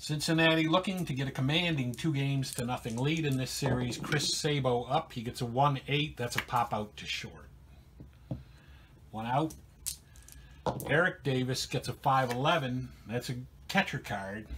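Fairly slow speech with long, frequent pauses, ordinary pitch variation and noticeable background noise. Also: man. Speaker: narrator. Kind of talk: play-by-play commentary.

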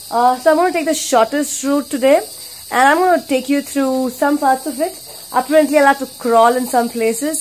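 Over light background noise, the voice moves at a moderate pace with fairly even intonation. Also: woman. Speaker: travel vlogger. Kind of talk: casual vlog chat. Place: tunnel cave. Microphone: phone near.

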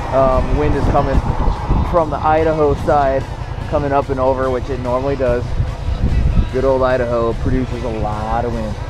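A man talks at a moderate pace with long, frequent pauses. The sound is dry with no echo, and clear music plays in the background. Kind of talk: casual vlog chat. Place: motorbike. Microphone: helmet.

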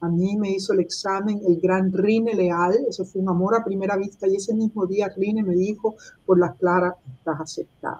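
A dark, mellow tone with fairly even intonation at a moderate pace. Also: woman. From Cuba. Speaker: writer and activist; interviewee. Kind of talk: interview. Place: home room. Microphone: webcam.

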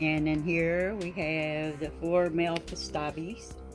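Music plays clearly in the background. Over it, a woman speaks with an American accent. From North Carolina. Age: 70s. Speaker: snake keeper. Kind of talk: casual talk to camera. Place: home room. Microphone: phone near.

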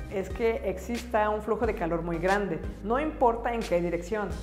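With music in the background, the speaker talks at a moderate pace with ordinary pitch variation. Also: woman. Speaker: science educator. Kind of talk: educational science explainer.

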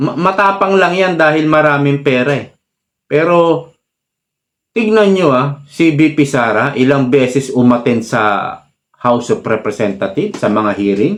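The man's pitch is fairly high and his intonation lively. He speaks at a fairly slow pace. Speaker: political commentary vlogger. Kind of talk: political commentary monologue. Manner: animated.

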